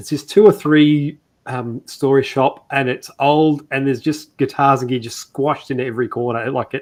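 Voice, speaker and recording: With an Australian accent, a man speaks at a fairly high pitch and fairly even intonation. His pace is moderate with hardly any pauses, in a very clean recording with a silent background. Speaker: guitar maker. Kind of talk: casual chat. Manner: halting.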